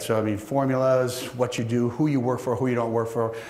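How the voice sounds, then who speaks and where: Noticeable background noise and audible room echo surround the speaker. He is a man with a medium pitch. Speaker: keynote speaker, manufacturing company owner. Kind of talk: conference keynote talk. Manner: fast; halting, many restarts.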